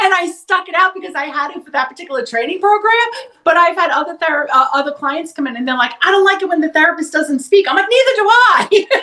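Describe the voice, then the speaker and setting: Over noticeable background noise, a woman with an extremely high pitch uses a raised, projected voice, talking at a very fast pace with lively intonation and hardly any pauses. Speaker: psychotherapist. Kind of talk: interview conversation. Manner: loud.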